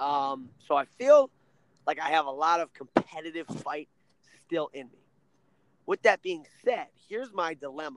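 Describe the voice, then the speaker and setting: With an American accent, this speaker has an animated tone, lively intonation, and big swings in loudness at a moderate pace. Long, frequent pauses break up the dry, close sound, which has no echo. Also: man, fairly high pitch for a man. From Ohio. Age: 20s. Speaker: wrestling coach. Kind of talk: casual interview.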